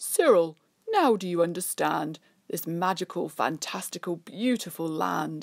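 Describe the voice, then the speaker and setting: Using a put-on character voice, a woman speaks at a moderate pace in a fairly low register. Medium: read story.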